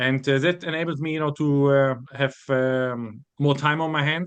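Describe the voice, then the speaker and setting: A man speaks in a fairly high voice. His intonation stays fairly even. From Germany. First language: German. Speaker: bible college student. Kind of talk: interview. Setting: podcast. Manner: halting, many fillers.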